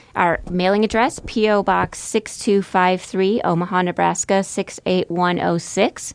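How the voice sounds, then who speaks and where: In an ordinary speaking voice, a woman with an American accent talks at a medium pitch and a fairly slow pace with hardly any pauses. Her intonation is fairly even and her loudness very even. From central Wisconsin. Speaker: nonprofit executive director. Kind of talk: radio interview. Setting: radio studio.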